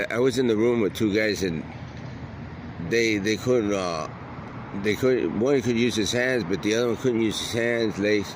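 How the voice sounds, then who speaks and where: At a fairly slow pace, a man with an American accent speaks at a medium pitch with fairly even intonation and long, frequent pauses over noticeable background noise. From Detroit. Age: 60s. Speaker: unhoused man interviewed. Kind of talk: casual interview.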